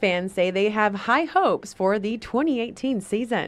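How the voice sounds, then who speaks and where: Noticeable background noise sits behind the speech. A woman with an American accent talks at a moderate pace with ordinary pitch variation. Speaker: television news reporter. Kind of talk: broadcast news reporting.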